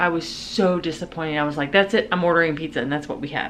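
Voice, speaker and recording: A woman with a fairly low pitch speaks over noticeable background noise. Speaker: lifestyle vlogger. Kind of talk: casual vlog narration.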